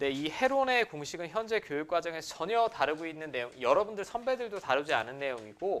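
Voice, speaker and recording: A man's fairly high voice at a fairly quick pace, very wide pitch swings, on a very clean recording with a silent background. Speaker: math teacher. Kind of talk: lecture. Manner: fast.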